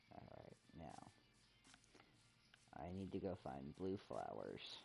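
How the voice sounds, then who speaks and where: Soft-spoken and rumbling, a man with a very deep, low pitch talks at a very slow pace with lively intonation as music plays in the background. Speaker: gaming streamer. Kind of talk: casual chat. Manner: quiet, soft-spoken; rumbly.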